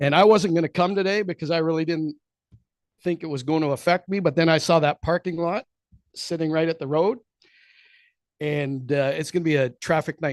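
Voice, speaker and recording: Fairly quick speech from a man with fairly high pitch and ordinary pitch variation, broken by long, frequent pauses. The sound is dry and close with no echo, over a quiet background. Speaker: property owner speaking at public meeting. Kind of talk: public comment at council meeting. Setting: council chamber podium with microphone.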